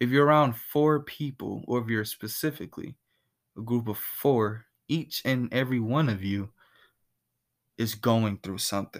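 On a very clean recording with a silent background, a man speaks at a medium pitch and a moderate pace. He uses ordinary pitch variation and takes long, frequent pauses. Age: young. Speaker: podcast host.

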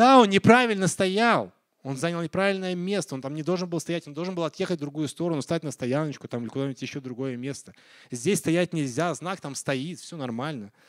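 Fairly high pitch and lively intonation from a man with an ordinary speaking voice at a fairly quick pace, on a very clean recording with a silent background and a dry, close sound with no echo. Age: 40s. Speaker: pastor. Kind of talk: sermon.

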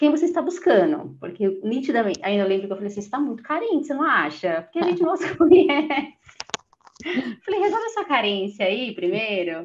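A woman speaks at a fairly quick pace with a high pitch. Her pitch swings very widely. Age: 30s. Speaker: office worker and solo traveler. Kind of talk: casual interview chat.

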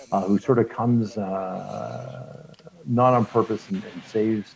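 A man with a Canadian accent uses a plain, everyday voice, fairly low in pitch, with ordinary pitch variation at a fairly slow pace. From Regina, Saskatchewan, Canada. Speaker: podcast host and producer. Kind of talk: casual chat.

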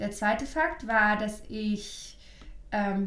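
Audible room echo surrounds the recording. A woman speaks with fairly high pitch. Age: 30s. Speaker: astrologer. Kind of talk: casual chat.

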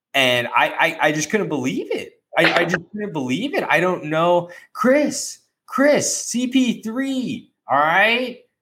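A man with an American accent speaks in a raised, projected voice, high in pitch and bright, sharp in tone. His pace is very slow, and his pitch swings very widely. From Arizona. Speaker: sports podcast host. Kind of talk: casual chat.

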